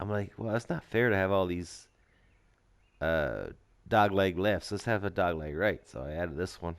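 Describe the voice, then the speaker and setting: A man with a very deep, low voice talks at a fairly slow pace with ordinary pitch variation and long, frequent pauses, in a very clean recording with a silent background. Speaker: video game streamer. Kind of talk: gameplay commentary. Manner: halting.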